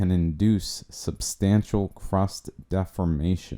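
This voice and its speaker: A very deep, low male voice with a dark, mellow tone at a very slow pace, on a very clean recording with a silent background. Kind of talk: documentary narration. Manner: unexcited, cocky.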